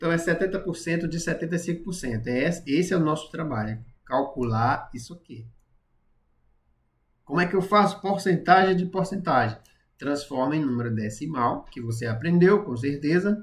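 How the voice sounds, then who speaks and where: A man with a fairly high pitch talks at a moderate pace with lively intonation. It is an unremarkable speaking voice. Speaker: math and physics teacher. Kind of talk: live-streamed tutorial. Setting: live stream.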